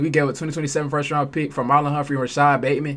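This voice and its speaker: With an animated tone, a man talks very fast at a fairly high pitch. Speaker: sports reaction streamer. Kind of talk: casual reaction commentary. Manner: halting, stumbling over words.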